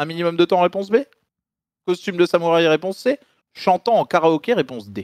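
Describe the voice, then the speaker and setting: Lively intonation and a fairly quick pace are broken by long, frequent pauses, in a dry sound with no echo against a quiet background. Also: man, high pitch for a man. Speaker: game show quiz master on stream; streamer reading quiz questions. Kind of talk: game show parody. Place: home room. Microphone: studio mic.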